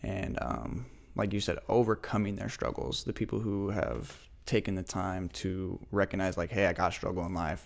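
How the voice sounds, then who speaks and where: Using lively intonation and vocal fry, a man with an American accent talks at a fairly quick pace in a very deep, low voice. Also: very clean recording, silent background. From US Pacific Northwest, Spokane area. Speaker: podcast host, clothing brand co-founder. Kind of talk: casual chat.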